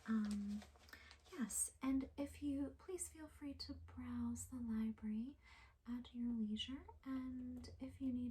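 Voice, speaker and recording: Against noticeable background noise, a soft-spoken woman speaks at a very slow pace. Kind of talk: ASMR roleplay for sleep, librarian talking to the listener.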